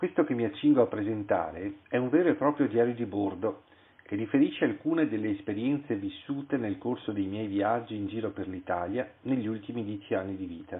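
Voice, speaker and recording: Speaking in a normal speaking voice, a man talks at a fairly quick pace, his fairly low pitch showing ordinary variation. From Italy, Venice. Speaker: author. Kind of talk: reading aloud.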